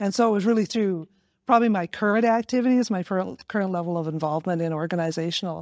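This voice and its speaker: A woman with a Canadian accent and a normal speaking voice, fairly quick pace, ordinary pitch variation, dry, close sound with no echo, and a very clean recording with a silent background. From northern British Columbia, Canada. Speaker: arts council organizer. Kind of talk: casual interview.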